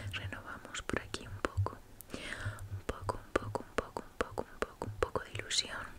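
A soft-spoken woman, whispering. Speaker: ASMR creator. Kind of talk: soft ASMR roleplay talk. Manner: soft ASMR whisper, repeated words. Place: home room. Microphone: studio mic.

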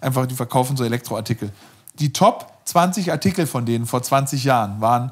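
Speaking at a moderate pace, a man uses ordinary pitch variation. Behind him, all is quiet. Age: 40s. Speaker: startup founder and CEO, former investment banker; interview guest. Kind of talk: casual interview conversation; interview answer. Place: home room.

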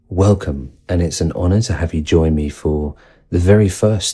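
A man speaks at a moderate pace in a very deep, low voice with a dark, mellow tone. His intonation stays fairly even, and the background is quiet. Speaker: sound healing teacher. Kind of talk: guided meditation introduction.

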